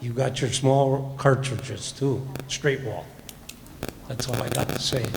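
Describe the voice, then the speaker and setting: A man with an Upper Midwest accent at a medium pitch and fairly slow pace, amid audible room echo and noticeable background noise. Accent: Upper Midwest (Minnesota). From Minnesota (St. Joseph area). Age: old. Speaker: public commenter. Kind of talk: public comment. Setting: county board meeting. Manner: casual.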